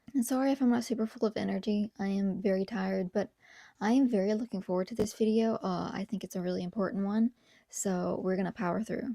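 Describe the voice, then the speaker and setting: In a very clean recording with a silent background, a woman whispers at a very fast pace, the sound dry and close with no echo. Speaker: video essayist, youtuber. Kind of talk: casual video commentary. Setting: home recording at night. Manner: whispering.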